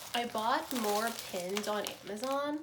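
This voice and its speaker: A woman's fairly high voice, with ordinary pitch variation, comes through audible room echo and noticeable background noise. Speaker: fashion design student and vlogger. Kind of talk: casual vlog narration. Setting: at home in her room. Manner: casual, chatty.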